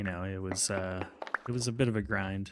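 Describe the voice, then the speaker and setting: This man has a fairly low pitch and a relaxed tone, speaking at a fairly quick pace with fairly even intonation. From Chicago. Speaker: game streamer. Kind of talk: casual live-stream chat while gaming. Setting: live stream. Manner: relaxed, chill.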